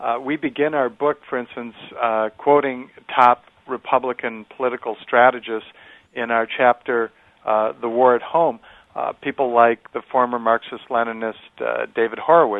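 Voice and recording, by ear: A man's medium-pitched voice with little pitch movement. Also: moderate pace, dry, close sound with no echo.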